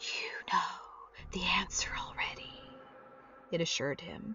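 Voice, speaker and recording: A woman's whispered, put-on character voice at a moderate pace. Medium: read story. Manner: insidious, coaxing.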